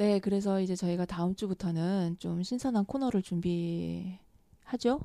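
The voice is dark and mellow, moving at a fairly slow pace with hardly any pauses. Its pitch varies in an ordinary way, and the sound is dry and close with no echo. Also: woman, medium pitch for a woman. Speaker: podcast host. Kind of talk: casual chat, interview.

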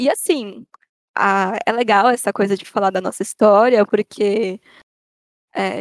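A woman speaks at a moderate pace and medium pitch in a normal speaking voice. The sound is dry and close, with no echo. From Brazil, São Paulo city (north zone). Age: 20s. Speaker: artist (painter, comics, theatre). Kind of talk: casual chat.

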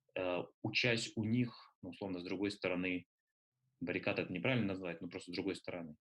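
A man with a very deep, low pitch speaks very fast with fairly even intonation, broken by long, frequent pauses. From Russia (Nalchik, then Moscow from 14). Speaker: book publisher and triathlon coach. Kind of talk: interview.

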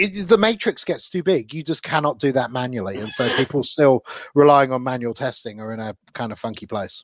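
Speaking at a fairly quick pace with hardly any pauses, a man has an unremarkable speaking voice at medium pitch. His loudness swings widely, and the sound is dry and close with no echo. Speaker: podcast host. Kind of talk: casual chat.

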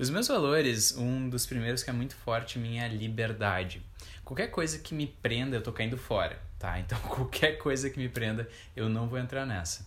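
This man has a plain, everyday voice at a medium pitch, with ordinary pitch variation. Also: moderate pace. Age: 20s. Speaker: podcast co-host, coach. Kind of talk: casual chat.

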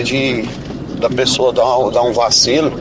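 A man speaks at a medium pitch. Audible room echo and noticeable background noise fill the recording. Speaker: radio listener. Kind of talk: recorded voice message.

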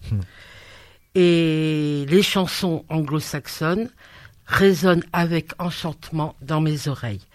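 Very slow speech from a woman with a very deep, low pitch. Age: 60s. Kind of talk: casual chat.

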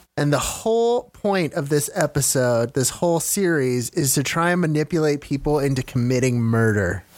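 This is an ordinary speaking voice with lively intonation and very even loudness. It moves at a moderate pace with hardly any pauses. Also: man, fairly high pitch for a man. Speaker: podcast co-host. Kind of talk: casual banter podcast.

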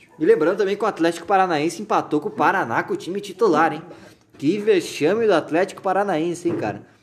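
Over noticeable background noise, a man with a high pitch speaks at a fairly quick pace with lively intonation. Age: 20s. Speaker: podcast host. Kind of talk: casual comedic chat.

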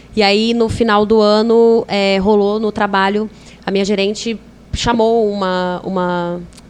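A woman's medium-pitched, monotone voice with flat intonation at a fairly slow pace. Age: 20s. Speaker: podcast guest, yoga and spirituality enthusiast. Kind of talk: casual chat.

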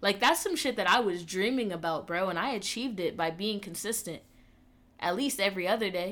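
Over a silent background in a very clean recording, a woman with an American accent talks at a fairly quick pace. She has an ordinary speaking voice, medium in pitch, with ordinary pitch variation. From Atlanta, US South. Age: 20s. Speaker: podcast host and gaming streamer. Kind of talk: casual monologue.

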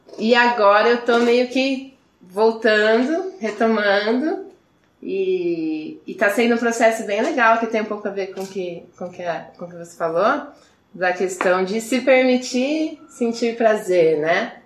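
Speaking at a very slow pace, a woman with a fairly high pitch uses lively intonation and big swings in loudness amid audible room echo. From Brazil, Campinas. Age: 20s. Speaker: podcast guest. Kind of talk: casual chat.

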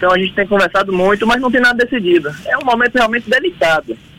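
A man speaks with a dry, close sound and no echo, over noticeable background noise. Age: 30s. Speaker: state politician. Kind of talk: radio interview. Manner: halting.

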